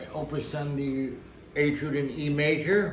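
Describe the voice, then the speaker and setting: Speech comes very slowly, with audible echo from the room. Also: man. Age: 60s. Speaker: piano teacher. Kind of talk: tutorial. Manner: casual.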